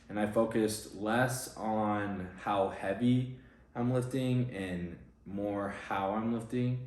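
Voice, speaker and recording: Audible room echo surrounds a man's fairly low voice. He speaks at a very slow pace with fairly even intonation. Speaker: competitive bodybuilder and fitness coach. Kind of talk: casual vlog and Q&A. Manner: monotone.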